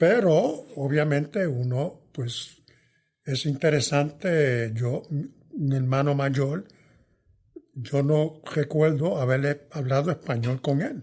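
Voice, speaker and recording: At a very slow pace, a somewhat breathy voice talks with ordinary pitch variation. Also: man, fairly high pitch for a man. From New York, Puerto Rican family. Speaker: veteran journalist and author. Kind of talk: interview conversation.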